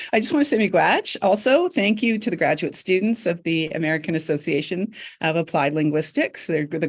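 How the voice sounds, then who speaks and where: Very clean, silent-background recording of a woman with a Canadian accent, an unremarkable speaking voice, fairly low pitch, lively intonation and a fairly quick pace. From Northern Ontario, Canada. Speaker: professor. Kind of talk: academic panel presentation.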